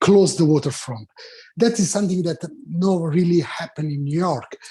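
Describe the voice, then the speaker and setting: A man with an Italian accent, fairly high in pitch, with a dark, mellow tone and ordinary pitch variation. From Italy. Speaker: restaurant owner. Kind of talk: public testimony. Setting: remote video meeting. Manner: halting.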